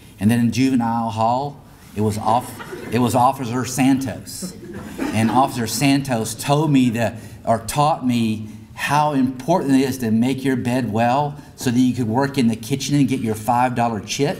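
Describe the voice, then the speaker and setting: Medium pitch from a man at a moderate pace, fairly even in intonation, with noticeable background noise and audible room echo. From grew up partly on US Army bases, German-speaking home. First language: German. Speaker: school district leader. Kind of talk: awards ceremony speech. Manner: halting, many repeats.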